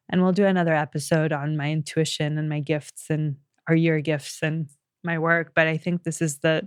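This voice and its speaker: In a dry, close sound with no echo, a woman with a very deep, low voice speaks at a moderate pace in a monotone, flat intonation. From Colombia, later raised in the US. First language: Spanish. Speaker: podcast host, intuitive healer. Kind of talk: personal storytelling monologue. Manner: halting, with fillers and self-corrections.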